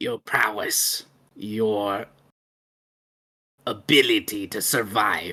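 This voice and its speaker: A put-on character voice, raspy and low-pitched, at a very slow pace with long, frequent pauses. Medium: actual play. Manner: curt, dismissive.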